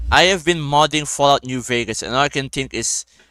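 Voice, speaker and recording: With music playing behind him, a man talks at a fairly high pitch with ordinary variation, the sound dry and close with no echo. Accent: non-native. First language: not English. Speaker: gaming streamer. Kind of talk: casual gameplay commentary. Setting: live stream with friends. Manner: animated.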